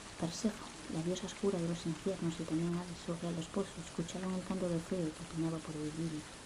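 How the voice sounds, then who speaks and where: A woman speaks very fast in a fairly low voice with flat, monotone intonation, and the recording carries audible room echo and noticeable background noise. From Spain, Asturias. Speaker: ASMR creator. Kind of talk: reading aloud. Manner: whispering.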